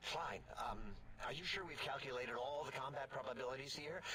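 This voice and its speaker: Over clear background noise, a man at medium pitch performs a put-on character voice. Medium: video game. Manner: hesitant, nervous.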